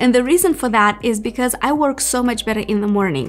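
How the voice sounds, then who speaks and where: A woman speaks at a fairly high pitch with ordinary pitch variation while music plays in the background. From Moldova. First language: Romanian. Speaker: YouTuber. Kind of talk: casual Q&A monologue.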